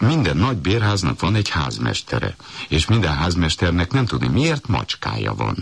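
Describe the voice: The intonation rises and falls in a lively way. It is plain reading aloud.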